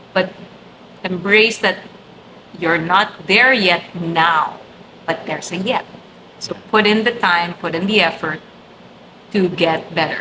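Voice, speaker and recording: Noticeable background noise sits behind this recording. A woman talks at a moderate pace with a medium pitch. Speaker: event host and trainer. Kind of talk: interview conversation. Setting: office studio. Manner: animated.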